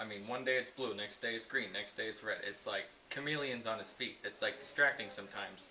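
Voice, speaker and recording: Noticeable background noise runs under the voice. The speech moves at a fairly quick pace. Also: man. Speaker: comedy video maker. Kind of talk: comedic behind-the-scenes banter.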